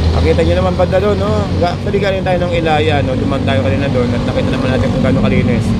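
Loud background noise surrounds a man talking at a very fast pace, his voice dry with no echo. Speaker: street vlogger. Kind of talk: casual vlog chat. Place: market. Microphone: phone near.

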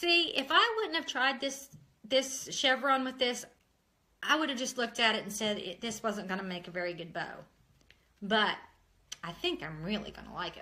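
This woman speaks in a West Virginia accent with a high pitch and a bright, sharp tone. Her pitch swings very widely, her loudness shifts greatly, and she takes long, frequent pauses. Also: moderate pace. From Ohio. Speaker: craft tutorial host. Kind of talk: tutorial. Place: kitchen. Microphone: phone near.

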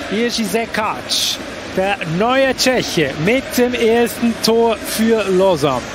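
Very slowly, a man speaks with a high pitch, ordinary pitch variation and very even loudness. Noticeable background noise runs behind him. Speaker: ice hockey commentator. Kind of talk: live sports commentary over match highlights. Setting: highlights voice-over.

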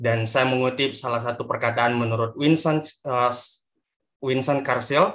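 A man talks at a moderate pace against a quiet background. His pitch is medium. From Indonesia, West Sulawesi. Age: 20s. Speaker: moderator. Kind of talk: moderating online talk. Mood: friendly, earnest closing remarks. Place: home room. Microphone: video call.

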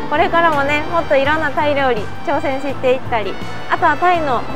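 A woman speaks at a moderate pace in a dry sound with no echo, with clear music playing in the background. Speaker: travel vlogger. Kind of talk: casual vlog chat. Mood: cheerful, laughing. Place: garden. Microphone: lapel.

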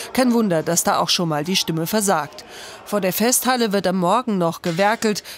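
Medium-pitched female speech at a moderate pace, with ordinary pitch variation and noticeable background noise. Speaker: news reporter. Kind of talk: news report voiceover.

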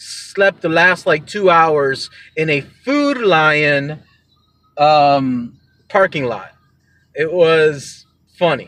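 A man's bright, sharp tone at a very slow pace, the sound dry with no echo and the background quiet. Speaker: podcast host vlogger. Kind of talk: casual vlog chat. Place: car. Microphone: phone near.

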